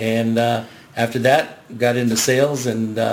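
A man with medium pitch and monotone, flat intonation, over noticeable background noise. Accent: American. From Southern California, Garden Grove. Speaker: magazine sales executive. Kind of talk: radio interview.

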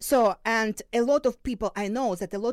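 A woman with a Ukrainian accent, fairly high pitch and ordinary pitch variation, at a moderate pace, in a very clean recording with a silent background and a dry, close sound with no echo. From Ukraine, Luhansk region. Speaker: crisis psychologist and professor. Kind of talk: interview. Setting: studio. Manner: halting.

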